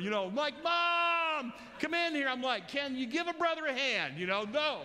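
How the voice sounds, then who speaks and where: A man's extremely high, raised and projected voice, with lively intonation at a moderate pace, amid audible room echo and noticeable background noise. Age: 60s. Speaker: pastor. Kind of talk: sermon. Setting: church. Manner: loud; animated.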